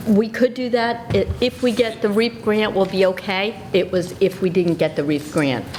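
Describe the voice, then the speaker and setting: A woman with an American accent at a moderate pace, ordinary pitch variation, and noticeable background noise. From South Jersey, US. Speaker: school administrator. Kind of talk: committee meeting presentation. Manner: hesitant fillers.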